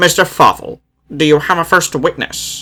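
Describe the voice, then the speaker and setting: A man puts on a character voice pitched high, moving at a moderate pace. The recording is very clean, with a silent background. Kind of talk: courtroom speech. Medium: read story.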